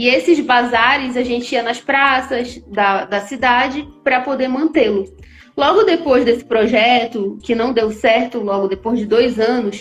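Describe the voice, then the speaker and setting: A woman's high-pitched voice with a Belém accent, fairly slow and with ordinary pitch variation, over music in the background. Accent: Paraense (Belém) Brazilian Portuguese. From Belém, Pará, northern Brazil. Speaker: entrepreneur, online store founder. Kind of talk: live stream interview.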